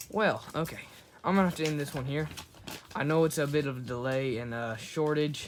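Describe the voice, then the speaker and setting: A fairly high-pitched man talks fairly quickly, with noticeable noise behind him. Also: ordinary pitch variation. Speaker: YouTuber doing toy unboxing. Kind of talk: casual unboxing video. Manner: hurried.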